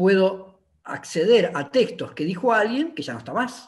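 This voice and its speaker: In a quiet background, a man with a high voice talks at a fairly slow pace, his pitch swinging very widely. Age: 50s. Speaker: linguistics professor and researcher; linguistics professor. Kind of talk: academic conversation. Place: home room. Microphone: video call.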